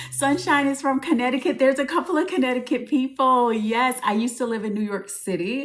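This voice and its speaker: Amid noticeable background noise, a woman with an American accent speaks in an animated tone. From US South, New Orleans. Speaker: spiritual advisor and business coach. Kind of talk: live stream. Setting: TikTok live stream.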